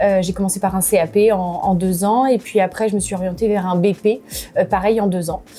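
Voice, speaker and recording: Medium in pitch, a woman's dark, mellow voice keeps a monotone, flat intonation. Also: fairly quick pace. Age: 20s. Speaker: restaurant co-owner. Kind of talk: casual interview. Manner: hesitant, many fillers.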